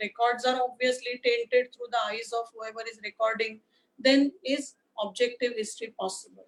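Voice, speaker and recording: A high-pitched woman's voice with an Indian accent. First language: Marathi. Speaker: history lecturer. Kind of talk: lecture. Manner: hesitant, many uh fillers.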